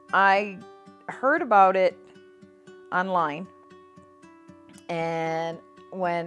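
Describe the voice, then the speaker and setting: A woman's voice with music in the background. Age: 60s. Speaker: patient with chronic lung disease. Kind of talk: patient testimonial interview.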